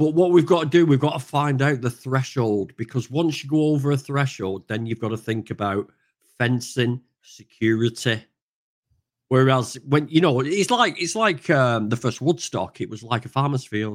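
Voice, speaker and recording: In a northern English accent, a man talks at a moderate pace with ordinary pitch variation. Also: medium pitch for a man. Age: 40s. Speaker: vegan activist. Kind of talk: casual chat. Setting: video call.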